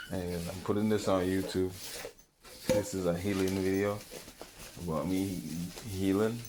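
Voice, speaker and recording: A man with a Caribbean accent speaks at a moderate pace in a very deep, low voice, his intonation fairly even. Long, frequent pauses break up his speech, and room echo is audible. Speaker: vlogger. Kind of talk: casual vlog monologue. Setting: home balcony. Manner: rambling, halting with fillers.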